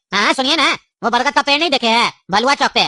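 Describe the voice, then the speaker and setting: In a cartoonish character voice, a female-sounding speaker talks at a very fast pace with a high pitch. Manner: rambling, jokey.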